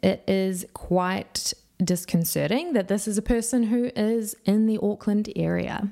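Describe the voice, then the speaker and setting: A woman with a New Zealand accent speaks fairly slowly at a very even loudness. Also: medium pitch for a woman, ordinary pitch variation. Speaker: true crime youtuber. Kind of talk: scripted narration.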